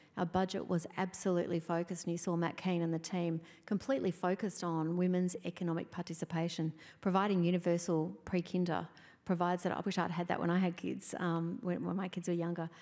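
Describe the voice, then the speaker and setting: Speaking with an Australian accent at a very fast pace, a woman has a fairly low pitch and a dark, mellow tone. Her intonation is monotone and flat, over a quiet background. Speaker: state government minister; government minister on panel. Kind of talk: onstage interview. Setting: stage with audience. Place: hall. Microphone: handheld.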